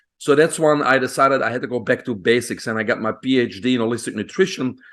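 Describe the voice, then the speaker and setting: With a Belgian accent, a man talks at a very fast pace in a medium pitch and with ordinary pitch variation. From Belgium. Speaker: physician. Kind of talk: podcast interview. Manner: hesitant with fillers.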